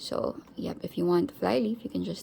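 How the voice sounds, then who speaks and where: A woman speaks with a non-native accent. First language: not English. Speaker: planner reviewer. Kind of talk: product comparison tutorial. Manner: halting, many fillers; casual.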